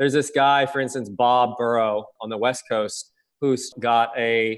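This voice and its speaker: An ordinary speaking voice from a man at medium pitch, fairly even intonation, on a very clean recording with a silent background. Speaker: inventor. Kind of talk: interview.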